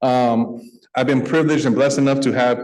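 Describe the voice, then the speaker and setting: With an American accent and fairly even intonation, a man speaks over audible room echo. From US West Coast, San Francisco Bay Area. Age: 40s. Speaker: nonprofit executive, guest speaker. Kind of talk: speech to a club luncheon. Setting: stage with audience, club meeting.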